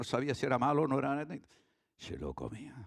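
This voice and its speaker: A man's lively intonation with vocal fry. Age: 70s. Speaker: pastor. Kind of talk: sermon.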